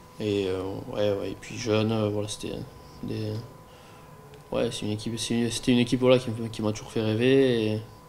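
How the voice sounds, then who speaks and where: A man talks at a fairly quick pace in a fairly low pitch, with long, frequent pauses. His intonation is monotone and flat, and the room echo is audible. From southern France (Aveyron, Rodez). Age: 20s. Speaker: professional cyclist. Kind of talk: interview. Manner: halting, many fillers and repetitions.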